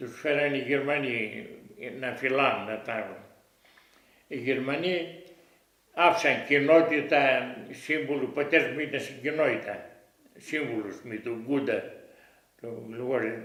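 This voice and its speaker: This man's fairly high voice moves at a fairly slow pace, with long, frequent pauses and ordinary pitch variation. His loudness swings widely, and the room echo is audible. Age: 80s+. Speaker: war witness. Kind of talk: oral history interview. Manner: halting.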